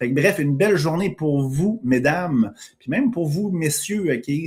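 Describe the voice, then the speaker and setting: A man with a Quebec accent, lively intonation and a fairly slow pace. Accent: Québécois French. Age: 40s. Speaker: podcast host and entrepreneur. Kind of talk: live stream monologue. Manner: casual, filler-heavy.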